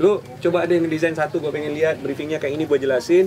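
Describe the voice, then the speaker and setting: The man talks at a fairly high pitch while noticeable background noise runs underneath. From Malaysia. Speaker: guitarist and graphic designer. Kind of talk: casual chat.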